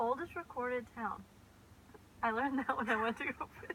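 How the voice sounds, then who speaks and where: Against noticeable background noise, a woman with a high pitch talks at a fairly quick pace with ordinary pitch variation. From California, US (Sacramento). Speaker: vlogger. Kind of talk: casual chat.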